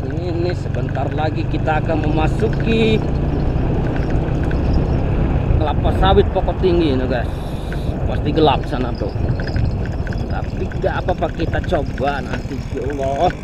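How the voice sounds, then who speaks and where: Long, frequent pauses break up speech at a moderate pace, with loud background noise behind it. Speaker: migrant worker vlogger. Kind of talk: casual vlog chat. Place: motorbike. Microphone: phone near.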